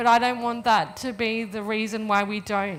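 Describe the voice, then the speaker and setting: A woman with an Australian accent talks at a moderate pace in a medium pitch, her intonation fairly even, with audible room echo. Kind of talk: panel discussion. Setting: stage with audience.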